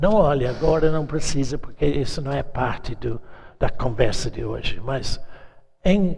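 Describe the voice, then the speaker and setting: A man's fairly high voice with vocal fry, ordinary pitch variation and a fairly slow pace in audible room echo. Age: 80s+. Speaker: preacher. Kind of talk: sermon.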